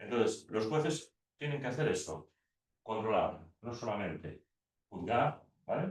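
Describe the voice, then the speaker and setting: This voice has very wide pitch swings and vocal fry, broken up by long, frequent pauses. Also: man, medium pitch for a man. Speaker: law teacher. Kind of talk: lecture. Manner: fast; halting.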